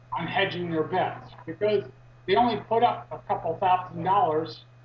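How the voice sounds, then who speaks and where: A man's high-pitched voice carries lively intonation. There is noticeable background noise. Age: 60s. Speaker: activist. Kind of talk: interview. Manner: halting, many fillers.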